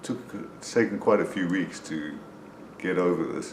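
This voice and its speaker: In a room with audible echo, a man talks fairly slowly, his very deep, low voice held to fairly even intonation. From South Africa. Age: 60s. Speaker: person with Parkinson's sharing experience. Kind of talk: personal video diary. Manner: hesitant, with frequent fillers.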